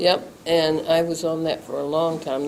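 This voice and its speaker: A woman speaks with fairly even intonation. Noticeable background noise can be heard. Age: 70s. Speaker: stroke patient. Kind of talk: interview. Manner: short clipped answers.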